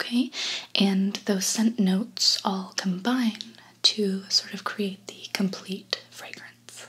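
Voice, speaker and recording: A soft-spoken woman talks at a very slow pace. Her intonation is monotone and flat. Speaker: perfume consultant roleplay host. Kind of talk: soft-spoken roleplay chat. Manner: soft-spoken intimate ASMR voice. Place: home room.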